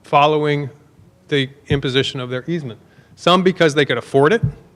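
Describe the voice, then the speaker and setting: A man talks at a fairly quick pace in a fairly high pitch. His intonation is lively. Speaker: researcher presenting at conference. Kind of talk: conference talk. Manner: fast.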